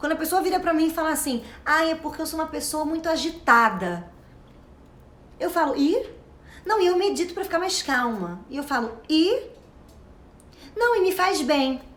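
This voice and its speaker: A woman talks with lively intonation in an extremely high pitch. Her tone is animated. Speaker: self-knowledge coach. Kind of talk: motivational talk. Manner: fast.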